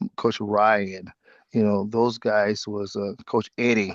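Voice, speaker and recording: Against a quiet background, a man speaks fairly slowly in a fairly low pitch. His intonation is monotone and flat, and the sound is dry and close with no echo. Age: 60s. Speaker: former football player and coach. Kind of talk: interview.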